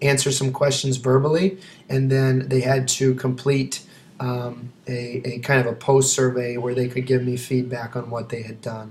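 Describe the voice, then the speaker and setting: In a monotone with flat intonation, a man talks at a medium pitch. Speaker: teacher. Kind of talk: video presentation. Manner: fast; hesitant with frequent fillers.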